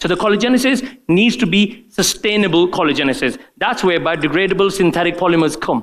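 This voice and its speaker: A man talks very fast in a high voice with hardly any pauses. His intonation is lively and his loudness very even. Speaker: doctor giving a product training talk. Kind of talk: conference presentation. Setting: conference room with live audience. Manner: hesitant, many fillers.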